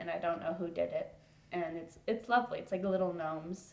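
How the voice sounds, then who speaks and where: A woman with an unremarkable speaking voice and an American accent talks at a fairly low pitch and fairly quick pace. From Los Angeles, California. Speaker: program fellow. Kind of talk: interview. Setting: in a house.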